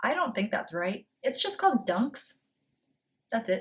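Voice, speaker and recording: A woman in an American accent, fairly high in pitch, at a moderate pace. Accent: slight Boston accent, comes out sometimes. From Massachusetts, north of Boston. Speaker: booktuber. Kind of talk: casual vlog talk.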